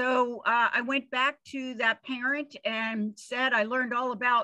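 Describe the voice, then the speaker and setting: A woman speaks in a high voice with fairly even intonation. Her pace is fairly slow, and the background is quiet. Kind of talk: presentation talk. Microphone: video call.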